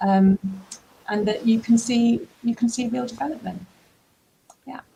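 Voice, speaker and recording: A woman with an unremarkable speaking voice talks at a moderate pace in a fairly high voice, with ordinary pitch variation and big swings in loudness. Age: 60s. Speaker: business school careers director. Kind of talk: interview.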